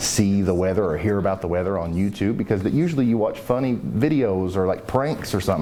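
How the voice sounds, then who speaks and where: Someone speaks in an Appalachian accent with ordinary pitch variation. The recording has audible room echo and noticeable background noise. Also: man. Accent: Appalachian Kentucky. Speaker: weather YouTuber. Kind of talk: interview. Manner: casual, halting with fillers.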